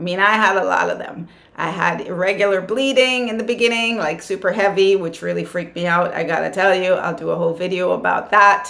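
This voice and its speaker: A woman's animated voice at a fairly quick pace, with audible room echo and noticeable background noise. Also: medium pitch for a woman, ordinary pitch variation, hardly any pauses. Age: 60s. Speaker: yoga and wellness vlogger. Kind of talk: casual advice talk to camera.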